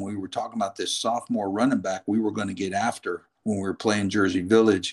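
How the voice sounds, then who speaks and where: A man's fairly low voice, a plain, everyday voice, with fairly even intonation against a quiet background. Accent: American. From New York State. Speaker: football coach. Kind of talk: casual interview.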